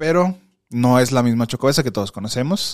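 With a Mexican accent, a man speaks at a medium pitch in an animated tone. The recording is very clean and dry, with a close sound, no echo and a silent background. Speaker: podcast host. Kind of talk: casual chat.

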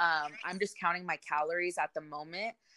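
A woman's fairly low voice with an American accent, bright and sharp in tone, fairly even in intonation, in a dry, close sound with no echo. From California, Modesto area. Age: 20s. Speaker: fitness enthusiast. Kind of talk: casual chat.

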